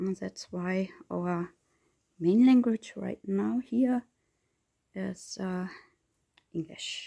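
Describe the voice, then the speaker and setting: Speaking at a very slow pace with long, frequent pauses, a woman with a German accent has a medium-pitched, dark, mellow voice, ordinary pitch variation and a dry, close sound with no echo. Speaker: reborn doll hobbyist vlogger. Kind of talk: casual chat while crafting tutorial. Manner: halting, searching for words.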